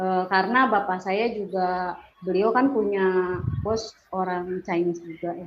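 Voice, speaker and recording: Over noticeable background noise and audible room echo, a woman at medium pitch talks fairly slowly. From Bandung, West Java, Indonesia (Sundanese). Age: 40s. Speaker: religious convert giving testimony. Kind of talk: testimony. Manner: casual, hesitant with fillers.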